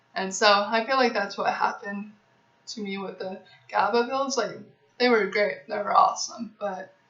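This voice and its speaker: A woman talks over noticeable background noise. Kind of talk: casual talk to camera, Q&A. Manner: stuttering.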